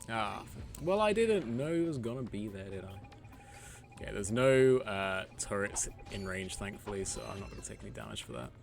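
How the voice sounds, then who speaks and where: A man talks at a fairly low pitch and a fairly quick pace with lively intonation. Music plays behind him in a room with audible echo. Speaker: gaming streamer. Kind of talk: live gameplay commentary. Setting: live stream at home. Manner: casual, chatty.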